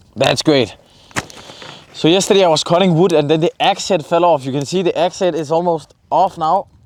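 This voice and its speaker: The man's pitch sits high for a male voice, rising and falling in an ordinary way while noticeable noise fills the background. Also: long, frequent pauses. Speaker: vlogger. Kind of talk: casual monologue. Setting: outdoors. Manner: fast.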